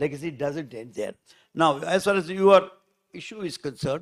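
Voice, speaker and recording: In a dry, close recording with no echo, a man with a high pitch talks at a moderate pace with lively intonation. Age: 80s+. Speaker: former minister. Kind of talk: public speech. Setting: stage with audience. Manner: halting.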